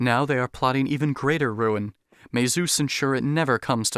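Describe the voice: A plain read-aloud delivery, ordinary pitch variation, and a quiet background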